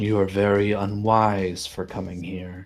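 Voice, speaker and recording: A man puts on a character voice. He talks at a fairly slow pace in a monotone, flat intonation. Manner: ominous, warning.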